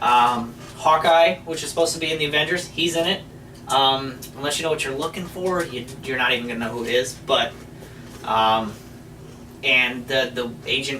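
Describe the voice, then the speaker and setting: At a moderate pace and medium pitch, a man speaks with ordinary pitch variation and long, frequent pauses, amid audible room echo and noticeable background noise. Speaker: movie review show co-host. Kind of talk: casual chat. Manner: loud.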